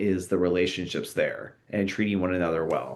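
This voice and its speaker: Talking at a fairly quick pace, a man with an American accent keeps a fairly low pitch and fairly even intonation. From Southern California. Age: 40s. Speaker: author and Bible scholar. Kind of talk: interview conversation. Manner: halting.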